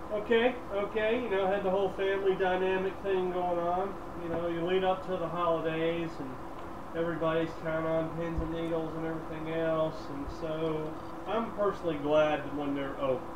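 A man keeps a moderate pace while noticeable background noise carries on around him. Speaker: co-host. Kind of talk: casual chat. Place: home room.

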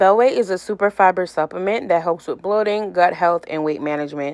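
Fairly quick pace from a woman's voice. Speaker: vlogger reading a sponsor segment. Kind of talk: casual vlog chat. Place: home room.

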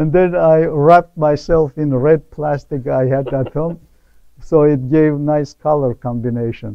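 A man with an Armenian accent speaks at a fairly slow pace in a fairly high pitch, his intonation fairly even. The sound is dry with no echo, over a quiet background. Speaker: painter. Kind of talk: interview. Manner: halting. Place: hall. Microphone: lapel.

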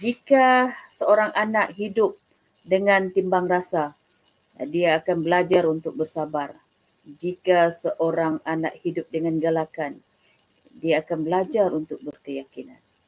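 A woman's fairly low voice at a very slow pace. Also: ordinary pitch variation. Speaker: education department official. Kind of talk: welcome speech. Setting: online webinar. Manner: hesitant, many fillers. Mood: calm, earnest. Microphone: webcam.

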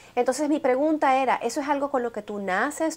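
A woman is talking. Her pitch moves in an ordinary way. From outside the US, Latin America. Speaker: TV morning show host; TV show host. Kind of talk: TV interview. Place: studio.

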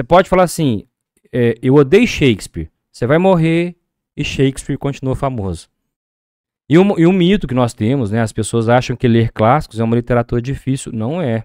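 Over a quiet background with dry sound and no echo, a man talks at a moderate pace with lively intonation. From Brazil. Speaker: accountant and reading project organizer; podcast guest. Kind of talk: casual interview. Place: studio. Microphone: studio mic.

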